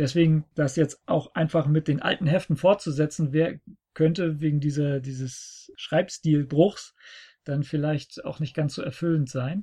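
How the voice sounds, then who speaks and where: At a fairly slow pace, the voice comes across dark and mellow, somewhat breathy and fairly even in intonation, with a dry, close sound, no echo and a quiet background. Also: man, fairly high pitch for a man. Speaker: podcast host. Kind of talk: casual chat. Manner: talkative.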